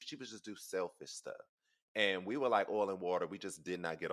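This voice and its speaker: A man in a Southern US accent. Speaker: podcast host. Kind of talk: casual chat.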